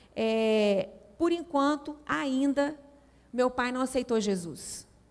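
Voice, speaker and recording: A woman speaks in a high pitch with lively intonation and a Minas Gerais accent. The recording is very clean, with a silent background. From Brazil, Minas Gerais. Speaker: women's ministry speaker. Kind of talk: sermon. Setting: church.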